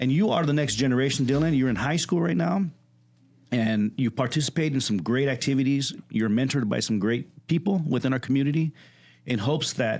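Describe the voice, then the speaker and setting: An unremarkable speaking voice at a fairly quick pace with lively intonation, on a very clean recording with a silent background. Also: man. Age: 40s. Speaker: podcast host and community leader. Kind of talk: casual interview. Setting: studio.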